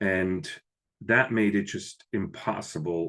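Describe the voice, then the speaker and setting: Ordinary pitch variation with a slight Swiss accent, over a quiet background. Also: man. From Switzerland, village near Lucerne. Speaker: business professor. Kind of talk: podcast interview.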